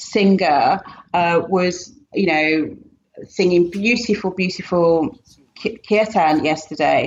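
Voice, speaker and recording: Speaking with a British accent at a very slow pace, a woman keeps a medium pitch, ordinary pitch variation and very even loudness, with long, frequent pauses. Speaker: yoga teacher. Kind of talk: podcast interview answer.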